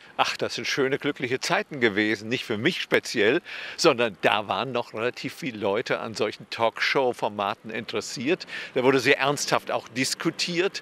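A bright, sharp tone at a moderate pace, in a dry sound with no echo. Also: man, ordinary pitch variation. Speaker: political science professor. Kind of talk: interview. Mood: calm, earnest, engaged. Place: street. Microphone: handheld.

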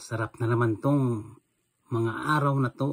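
A somewhat breathy man's voice at medium pitch, in a very clean recording with a silent background. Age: old. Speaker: vlogger. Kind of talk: angry rant. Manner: animated.

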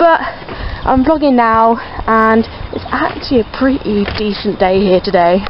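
A woman speaks at a fairly slow pace over noticeable background noise. The sound is dry, with no echo. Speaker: vlogger. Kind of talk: casual vlog chat. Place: waterside. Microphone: phone near.

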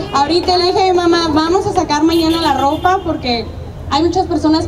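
Over noticeable background noise, a woman speaks fairly quickly in an extremely high voice with fairly even intonation. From Mexico, Sonora (Navojoa). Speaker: beauty pageant winner. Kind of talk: public address to crowd. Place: street. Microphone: handheld.

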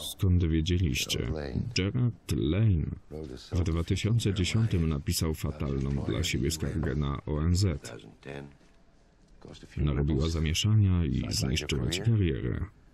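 With a very deep, low pitch and a dark, mellow tone, a man speaks at a fairly slow pace, somewhat breathy and with lively intonation. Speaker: voice-over translator. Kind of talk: film voice-over translation.

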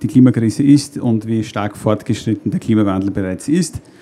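A man speaks with a dark, mellow tone. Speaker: presenter. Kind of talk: lecture. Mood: friendly, lightly humorous. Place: stage. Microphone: handheld.

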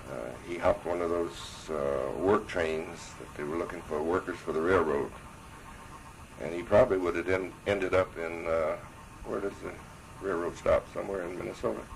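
A man with an American accent and a very deep, low pitch at a moderate pace, ordinary pitch variation, with light background noise. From Chicago. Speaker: war veteran. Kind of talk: oral history interview. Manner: halting. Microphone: old recording.

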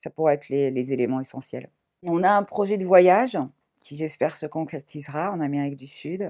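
Against a quiet background, a woman speaks at a moderate pace with a very deep, low pitch and a dark, mellow tone. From Paris, France. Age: 40s. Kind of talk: testimony. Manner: hesitant, many fillers. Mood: calm, reflective, emotional topic. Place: home room.

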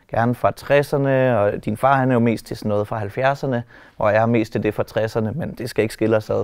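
A man with fairly even intonation, a quiet background and a dry sound with no echo. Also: moderate pace. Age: 30s. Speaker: animator and personal assistant. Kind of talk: casual interview. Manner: hesitant, many filler words. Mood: relaxed, smiling. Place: hall.

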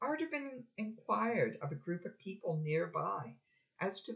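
The speaker is reading aloud in a natural voice against a quiet background.

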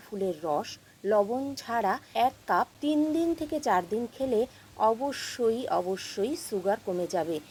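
Lively intonation over noticeable background noise. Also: woman. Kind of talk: voice-over explanation.

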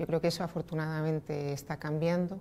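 A woman speaks with a fairly low pitch and a dark, mellow tone. Her intonation is flat and monotone, with light background noise. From Spain, Asturias (Oviedo); Asturias, Spain. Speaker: energy company executive. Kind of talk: interview. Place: meeting room.

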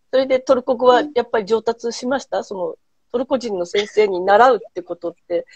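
A woman speaks in a high voice with ordinary pitch variation and big swings in loudness. The sound is dry with no echo, against a quiet background. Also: fairly quick pace. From Japan. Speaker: host, handicraft business owner; host. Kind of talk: casual chat. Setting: Instagram live stream. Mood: warm, smiling. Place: home room. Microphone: earbuds.

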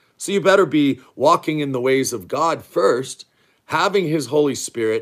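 A man with vocal fry talks at a moderate pace against a quiet background. His fairly high pitch moves in very wide swings. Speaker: online preacher. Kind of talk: sermon. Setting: live stream. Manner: stern, loud. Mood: earnest, stern urgency. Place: home room. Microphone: phone near.

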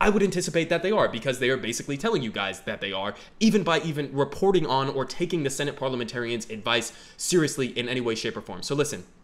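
Fast, lively delivery with few pauses and a fairly bright tone. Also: man, medium pitch for a man.

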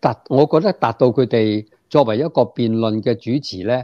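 With a Hong Kong accent, a man talks at a fairly slow pace and a medium pitch, his tone dark and mellow, his pitch varying normally, the sound dry with no echo over a quiet background. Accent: Hong Kong Cantonese. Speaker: political commentator guest. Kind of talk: political commentary discussion; interview answer. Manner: many hesitation fillers. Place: home room. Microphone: earbuds.

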